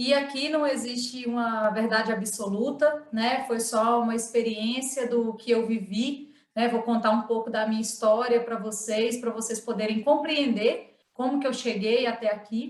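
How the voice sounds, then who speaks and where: Speaking at a fairly slow pace with hardly any pauses, a woman with a strong northeastern Minas Gerais accent holds a fairly high pitch in monotone, flat intonation. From northeastern Minas Gerais, Brazil, near Bahia border. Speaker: cooperative relationship supervisor, panelist. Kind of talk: online panel talk, personal case presentation. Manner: conversational with frequent fillers.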